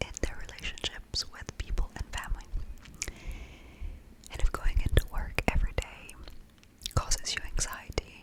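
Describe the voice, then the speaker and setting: A woman whispers at a moderate pace with big swings in loudness and long, frequent pauses over noticeable background noise. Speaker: NLP coach and ASMR mental wellness host. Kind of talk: coaching session talk to camera. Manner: whispered, soft-spoken.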